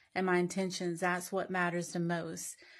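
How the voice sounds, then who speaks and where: A woman talks with a Southern US accent at medium pitch. The recording is very clean, the background silent. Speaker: social media commenter. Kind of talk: casual monologue to camera.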